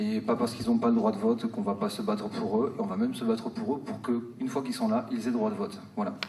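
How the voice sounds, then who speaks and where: A man at a very fast pace with hardly any pauses and very wide pitch swings, amid noticeable background noise. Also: fairly high pitch for a man. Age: 40s. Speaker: teacher and candidate. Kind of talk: campaign speech. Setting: political rally.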